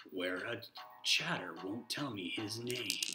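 Over clear background noise, a man performs a put-on character voice. His pitch sits at a medium level. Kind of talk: playful movie-trailer voice during live stream chat. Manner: dramatic trailer announcer.

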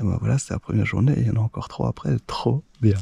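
A man talks at a fast pace with a fairly low pitch, ordinary pitch variation, a dark, mellow tone, a husky, rough edge and vocal fry.

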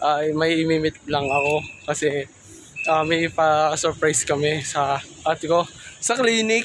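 A man's fairly high-pitched voice at a fairly slow pace, with ordinary pitch variation, very even loudness and noticeable background noise. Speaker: student vlogger. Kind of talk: vlog narration. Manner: halting.

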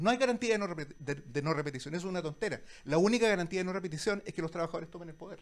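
A man with a high-pitched voice. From Chile. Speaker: lawyer and digital media director, debater; panelist. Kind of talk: public debate. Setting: restaurant with live audience. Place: cafe. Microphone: handheld.

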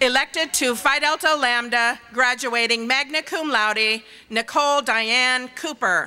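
With faint music in the background, a woman speaks at a high pitch. Her pace is fairly slow, and her pitch varies in an ordinary way. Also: very even loudness. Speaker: dean reading graduate names. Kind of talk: reading names aloud at graduation. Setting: stage with audience. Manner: steady, measured. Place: stage. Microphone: podium.

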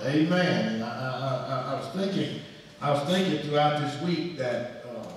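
Strong room echo surrounds a man speaking with lively intonation. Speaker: pastor. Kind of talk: sermon. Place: church. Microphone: camera far.

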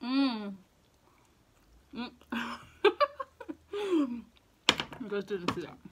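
Over noticeable background noise, a woman's high-pitched voice makes very wide pitch swings. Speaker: food mukbang / eating show YouTuber. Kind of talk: casual talk to camera. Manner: upbeat, enthusiastic. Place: home room.

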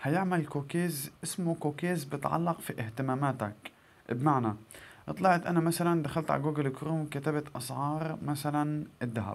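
With a Gazan accent, a man speaks at a moderate pace in a fairly high pitch with ordinary pitch variation. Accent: Gazan Palestinian Arabic. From Palestine, northern Gaza Strip. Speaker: YouTuber; tech tips vlogger. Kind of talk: tutorial. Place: home room. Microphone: phone near.

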